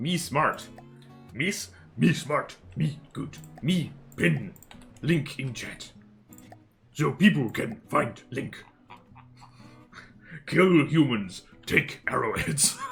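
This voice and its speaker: A man uses a put-on character voice, fairly high in pitch, at a very slow pace with long, frequent pauses. Faint music plays in the background. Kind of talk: broken primitive speech. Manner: dumb, grunting, simple.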